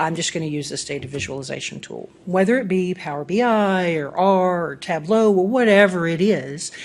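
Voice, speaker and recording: Moderate pace, hardly any pauses, ordinary pitch variation and big swings in loudness, with audible room echo. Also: woman, fairly low pitch for a woman. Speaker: business intelligence lead presenting at a conference. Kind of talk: conference presentation. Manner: animated.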